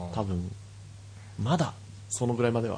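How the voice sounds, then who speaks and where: A man with a medium-pitched, somewhat breathy voice and a dark, mellow tone is heard with audible room echo. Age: 20s. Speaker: podcast co-host. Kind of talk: casual chat.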